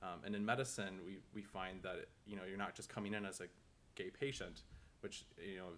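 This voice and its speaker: Speaking at a fairly quick pace, a man has an unremarkable speaking voice with an American accent. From Minnesota. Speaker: medical student. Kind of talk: casual chat.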